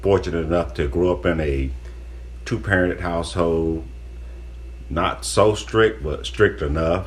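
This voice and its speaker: A man's very deep, low voice with an American accent and lively intonation, plus audible room echo. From Florida. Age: 60s. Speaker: guest, host's father. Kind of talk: casual podcast chat.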